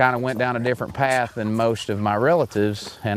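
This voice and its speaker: The speaker has an Arkansas accent and moves at a moderate pace. The intonation stays fairly even. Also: man. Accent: Southern US (Arkansas). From US South, central Arkansas. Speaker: hunting show host. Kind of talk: casual interview storytelling.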